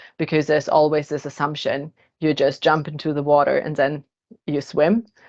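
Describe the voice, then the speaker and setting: In a Russian accent, a woman speaks with a very deep, low pitch and monotone, flat intonation. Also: moderate pace. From Germany, born in Kazakhstan. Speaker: podcast co-host, HR manager. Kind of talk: casual podcast discussion.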